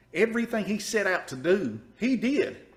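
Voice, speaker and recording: A man speaks with an Eastern Kentucky accent. His tone is animated. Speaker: podcast host. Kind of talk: casual interview.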